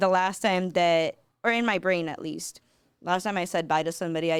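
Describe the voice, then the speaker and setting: In a very clean recording with a silent background, a woman talks with a Spanish accent. Her pitch is fairly low and her pace moderate. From Peru (Lima), raised in Broward County, Florida from age 10. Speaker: artist. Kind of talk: podcast interview, casual conversation. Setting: studio.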